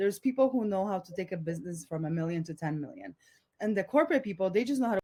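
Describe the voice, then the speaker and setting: This woman talks very fast at a medium pitch, her dark, mellow tone somewhat breathy, in a dry, close sound with no echo. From Poland. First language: Polish. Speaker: entrepreneur, community founder. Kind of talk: podcast interview. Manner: casual, animated.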